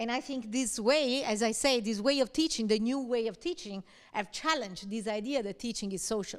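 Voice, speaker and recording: With a fairly high pitch and ordinary pitch variation, a woman talks at a fairly quick pace. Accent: Italian. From Italy. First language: Italian. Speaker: university lecturer. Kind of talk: lecture. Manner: conversational, frequent fillers like okay.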